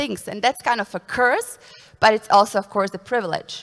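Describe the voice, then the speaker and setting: A woman with a non-native accent, at a moderate pace. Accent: foreign. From Bosnia and Herzegovina, Srebrenik area. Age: 20s. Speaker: consultant. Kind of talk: conference talk.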